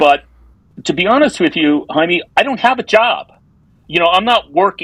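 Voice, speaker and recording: At a moderate pace, a man speaks with very wide pitch swings, in a dry, close recording with no echo. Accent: New York. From New York. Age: 60s. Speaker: advertising copywriter. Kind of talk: casual interview conversation.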